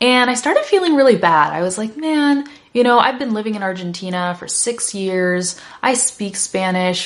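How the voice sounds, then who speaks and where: Over noticeable background noise, a woman talks in an animated tone with lively intonation. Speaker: English teacher. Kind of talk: lesson to learners. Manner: fast.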